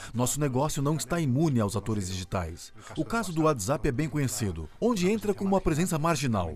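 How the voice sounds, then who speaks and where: A man talks at a fairly quick pace, his pitch swinging very widely. Vocal fry runs through his voice over light background noise. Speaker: voice actor. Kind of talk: corporate narration. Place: studio. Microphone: studio mic. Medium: dub.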